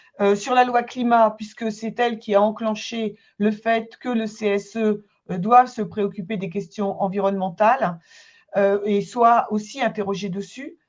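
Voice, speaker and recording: In a normal speaking voice, a woman talks at a fairly slow pace with a fairly high pitch and ordinary pitch variation. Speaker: consultant and trainer. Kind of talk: webinar presentation. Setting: online webinar.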